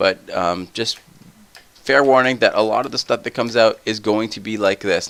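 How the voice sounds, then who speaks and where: A man talks in a soft-spoken way. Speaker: gaming let's play youtuber. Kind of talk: casual gaming commentary. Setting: home recording at night.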